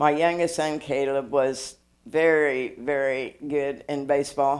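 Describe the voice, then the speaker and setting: A woman with a very deep, low pitch and monotone, flat intonation. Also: fairly slow pace. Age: 70s. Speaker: chiropractor. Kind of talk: casual interview. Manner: halting.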